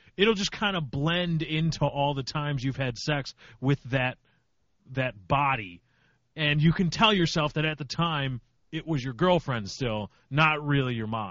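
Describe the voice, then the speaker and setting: With a plain, everyday voice, a man at a fairly high pitch talks at a fairly slow pace with lively intonation. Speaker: podcast co-host. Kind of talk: casual chat.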